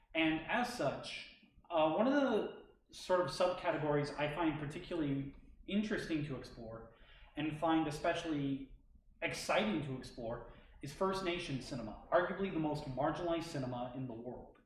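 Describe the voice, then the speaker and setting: At a moderate pace, a man with a fairly high pitch speaks with lively intonation amid audible room echo. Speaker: graduate film student presenter. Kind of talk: academic presentation. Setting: stage with audience, live streamed. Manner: halting.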